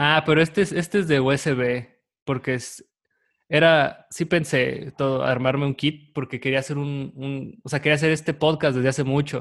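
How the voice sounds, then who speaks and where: In a Mexican accent, a man talks at a fairly high pitch with fairly even intonation against a quiet background. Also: moderate pace. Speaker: podcast host. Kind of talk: casual chat. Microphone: new microphone.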